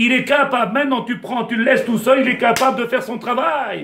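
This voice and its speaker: With noticeable background noise behind him, a man speaks fairly quickly in an extremely high pitch and an animated tone. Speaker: rabbi. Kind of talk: Torah lesson. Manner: fast.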